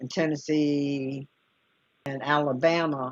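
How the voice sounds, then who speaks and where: The woman's voice is very deep and low, delivered in a flat monotone with a dry, close sound and no echo. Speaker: online talk show host. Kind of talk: casual chat.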